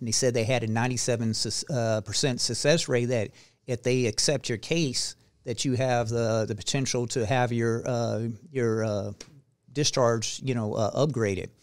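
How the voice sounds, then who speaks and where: A man with an unremarkable speaking voice and medium pitch talks at a moderate pace with fairly even intonation, in a very clean recording with a silent background. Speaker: retired Air Force veteran. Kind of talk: casual interview chat.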